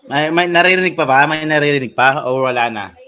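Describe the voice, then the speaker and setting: A man talks with ordinary pitch variation while audible room echo and noticeable background noise fill the recording. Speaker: teacher. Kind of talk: lecture. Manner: loud.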